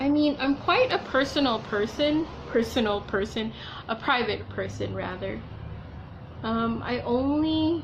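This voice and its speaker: Soft-spoken and at a fairly slow pace, a woman comes through audible room echo and noticeable background noise. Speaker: beauty vlogger. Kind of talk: casual makeup tutorial chat. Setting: at home alone. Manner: quiet, soft-spoken.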